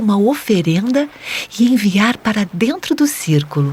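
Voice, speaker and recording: Her tone is calm and gentle, and her pace fairly slow. The woman's pitch swings very widely. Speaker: meditation guide for children. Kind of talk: children's guided meditation narration. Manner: soft-spoken, calm, gentle.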